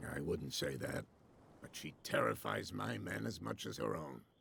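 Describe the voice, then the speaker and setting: A man puts on a raspy character voice with a very deep, low pitch. His intonation is lively and his pace moderate. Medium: video game. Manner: proud, guarded.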